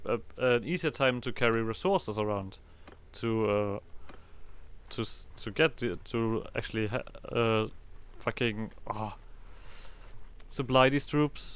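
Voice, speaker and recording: A man with a German accent, medium pitch and a moderate pace, with long, frequent pauses. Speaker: gaming video creator. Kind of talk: let's play commentary. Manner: halting.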